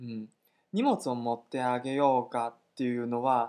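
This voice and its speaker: A man speaks with a Chinese accent at a medium pitch. The background is quiet. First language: Chinese (speaking Japanese). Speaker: Chinese language teacher. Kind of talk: language lesson dialogue.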